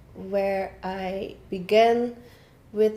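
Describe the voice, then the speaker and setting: With a Dutch accent, a woman of medium pitch speaks in a flat monotone with a dark, mellow tone, and audible room echo surrounds her voice. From Netherlands. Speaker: online academy founder and coach. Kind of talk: casual talk to camera. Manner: halting, many filler sounds.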